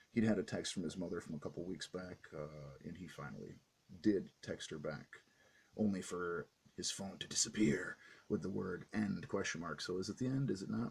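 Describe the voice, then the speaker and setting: The voice has vocal fry and ordinary pitch variation. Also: man, very deep, low pitch for a man. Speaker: comic book reviewer. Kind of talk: casual review vlog. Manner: fast; halting, many fillers.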